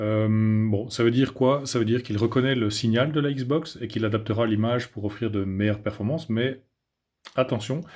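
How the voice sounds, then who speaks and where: Here a man speaks at a medium pitch and a moderate pace. His intonation is fairly even. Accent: Belgian. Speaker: tech reviewer. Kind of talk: product review. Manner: hesitant, many filler sounds.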